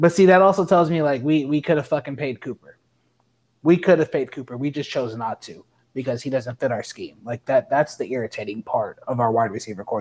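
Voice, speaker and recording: A man's fairly high voice with ordinary pitch variation, dry and close with no echo, over a quiet background. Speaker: sports podcast co-host. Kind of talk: casual chat. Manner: animated.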